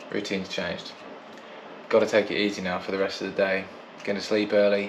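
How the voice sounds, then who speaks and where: With a British accent, a man talks at a very fast pace in a fairly low, monotone, flat voice, with noticeable background noise and audible room echo. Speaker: podcast co-host. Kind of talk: casual video diary chat.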